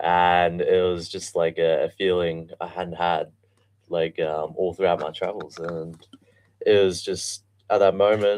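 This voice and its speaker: A man with an Australian accent at a very slow pace. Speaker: guest. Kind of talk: interview. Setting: studio.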